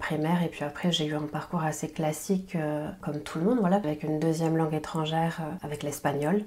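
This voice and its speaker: Fairly quick and fairly even in intonation, a woman speaks with a fairly low pitch. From French Basque Country. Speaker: French language teacher and podcaster. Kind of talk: podcast interview. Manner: hesitant, many fillers.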